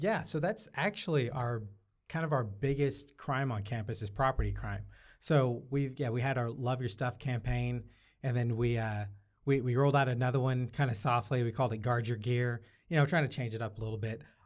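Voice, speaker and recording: On a very clean recording with a silent background, a man with an unremarkable speaking voice and an American accent talks at medium pitch with ordinary pitch variation. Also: fairly quick pace. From Syracuse, New York, US Northeast. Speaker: campus police officer. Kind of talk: podcast interview.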